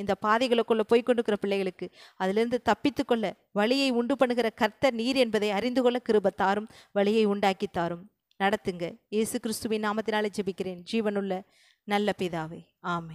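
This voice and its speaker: A woman's calm voice, fairly high in pitch, with fairly even intonation and a quiet background. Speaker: preacher. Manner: calm, conversational, reassuring. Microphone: handheld.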